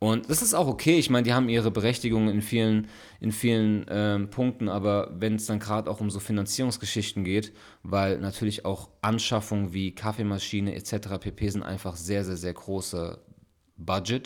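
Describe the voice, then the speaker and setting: A man speaks in a normal speaking voice at a fairly low pitch, keeping a moderate pace. His intonation is fairly even, and the recording is very clean with a silent background. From Frankfurt, Germany. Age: 30s. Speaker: podcast co-host and bar owner. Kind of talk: casual chat. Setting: recording late at night at home.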